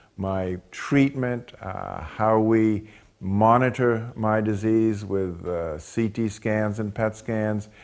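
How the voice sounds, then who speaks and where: His intonation holds fairly even. The man talks very slowly. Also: fairly low pitch for a man. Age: 70s. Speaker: lung cancer survivor, retired physicist. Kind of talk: personal testimony. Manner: halting, with many fillers.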